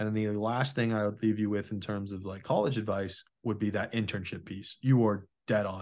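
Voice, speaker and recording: A man with an ordinary speaking voice and fairly low pitch talks with fairly even intonation and hardly any pauses over a quiet background. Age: 20s. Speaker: podcast host. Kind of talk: casual chat.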